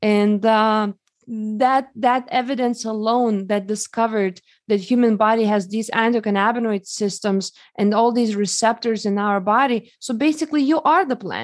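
Against a quiet background, a woman with a Lithuanian accent talks at a moderate pace and a fairly high pitch, with ordinary pitch variation. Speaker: holistic health expert. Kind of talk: interview.

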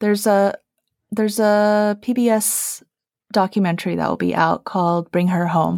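Recorded very cleanly against a silent background with a dry, close sound and no echo, a woman uses an ordinary speaking voice of medium pitch at a moderate pace, her loudness very even and her intonation fairly even. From Taiwan-born, raised in Utah and California. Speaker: film producer and screenwriter, feminist reader. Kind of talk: casual book discussion.

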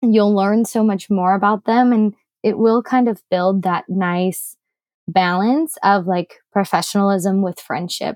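In a quiet background, a woman with an American accent has an ordinary speaking voice, medium pitch, fairly even intonation, and a fairly slow pace. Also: dry, close sound with no echo. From US Midwest. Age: 20s. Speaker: startup founder and researcher. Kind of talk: interview conversation.

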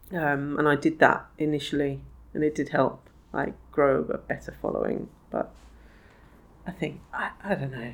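With vocal fry and a very deep, low pitch, a woman speaks at a moderate pace with fairly even intonation and long, frequent pauses. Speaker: magazine publisher. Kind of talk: casual interview chat.

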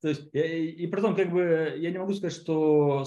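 The man's tone is dark and mellow, with a quiet background behind him. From Siberia, Russia (Kemerovo). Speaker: online course producer and entrepreneur. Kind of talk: casual interview. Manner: halting, many fillers.

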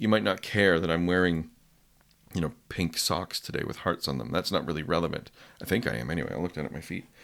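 A man with a Canadian accent talks at a very fast pace in a very deep, low voice with vocal fry and ordinary pitch variation, in a very clean recording with a silent background. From west coast of Canada. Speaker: copywriting coach. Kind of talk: casual interview. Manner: conversational, hesitant with fillers.

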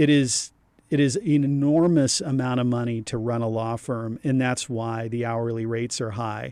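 The recording is very clean, with a silent background. A man of medium pitch speaks at a moderate pace with a dark, mellow tone and fairly even intonation. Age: 50s. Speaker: divorce attorney. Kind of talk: casual chat.

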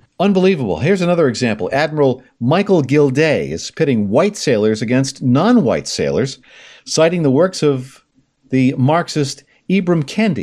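A man with a normal speaking voice talks at a moderate pace, his pitch fairly high. His intonation is lively, and the background is quiet. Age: 60s. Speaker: podcast host. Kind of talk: political commentary.

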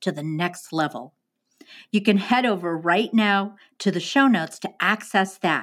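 Over a very clean recording with a silent background, a woman with an American accent and an ordinary speaking voice talks at a fairly slow pace with lively intonation. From New Jersey (Jersey Shore). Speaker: podcast host, photographer. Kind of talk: casual interview; scripted promo.

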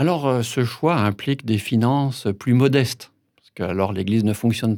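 On a very clean recording with a silent background, a man speaks fairly slowly at a medium pitch with a dark, mellow tone and lively intonation. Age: 60s. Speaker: pastor. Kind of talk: interview and spoken meditation.

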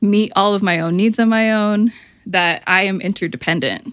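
With an American accent, a woman speaks in fairly even intonation. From Michigan, near Flint. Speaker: therapist and author. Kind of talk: casual interview chat. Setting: video call.

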